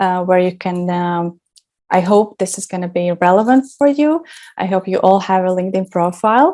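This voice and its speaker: This woman has a dark, mellow tone and speaks with a non-native accent. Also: medium pitch for a woman, ordinary pitch variation, moderate pace, very clean recording, silent background. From Latvia. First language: not English. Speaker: branding specialist. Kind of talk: workshop presentation. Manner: hesitant, many fillers.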